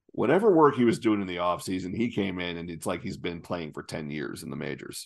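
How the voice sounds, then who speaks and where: Very deep, low male voice, fairly quick in pace. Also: quiet background. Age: 30s. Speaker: sports podcast host. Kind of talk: casual chat.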